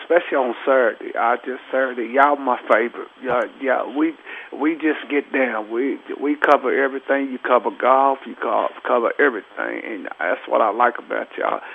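A man talks at a moderate pace while noticeable background noise fills the recording. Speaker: caller. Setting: phone call.

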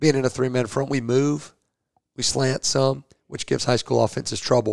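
A man with an American accent and an unremarkable speaking voice talks at a fairly quick pace with a medium pitch and fairly even intonation, in a dry, close sound with no echo. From northwest Georgia, US South. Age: 40s. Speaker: high school football coach. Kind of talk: casual interview.

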